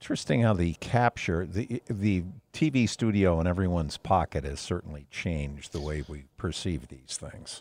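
With a very deep, low voice, a man talks at a moderate pace, his intonation lively and his loudness swinging widely, in a dry, close recording with no echo that is very clean against a silent background. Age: old. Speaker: podcast co-host. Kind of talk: casual chat.

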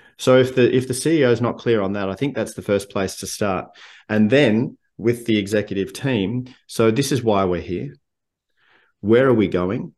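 A man speaks with an Australian accent at a moderate pace, pitched at medium with ordinary variation. The background is quiet. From Victoria, Australia. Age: 50s. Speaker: leadership coach and speaker. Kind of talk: casual interview chat.

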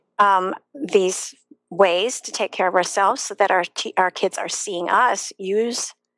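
A woman with an American accent has a plain, everyday voice at medium pitch. She speaks at a fairly slow pace with fairly even intonation, in a dry, close sound with no echo. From US Midwest, Chicago area. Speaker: yoga teacher and former schoolteacher. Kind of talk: live online interview.

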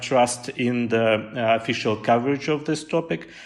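Speaking at a fairly slow pace, a man with a Russian accent uses a medium pitch and ordinary pitch variation. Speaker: pollster, research center deputy director. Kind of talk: interview. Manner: halting, many fillers.

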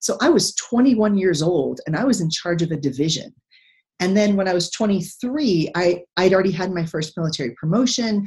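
A somewhat breathy woman with an American accent, fairly low in pitch, at a moderate pace. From Texas. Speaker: retired naval officer and economics professor. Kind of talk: interview.

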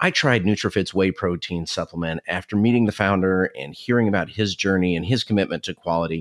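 In a very clean recording with a silent background and a dry, close sound with no echo, a man with an unremarkable speaking voice talks fairly quickly, his fairly low pitch showing ordinary variation. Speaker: podcast host. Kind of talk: casual interview.

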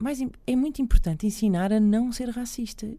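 With lively intonation and a dark, mellow tone, a woman speaks at a moderate pace. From Portugal, Lisbon. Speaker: radio host. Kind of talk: casual interview.

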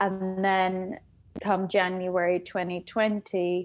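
In an English accent, a woman talks at a medium pitch on a very clean recording with a silent background. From England. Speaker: coaching client. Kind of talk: personal testimony in interview.

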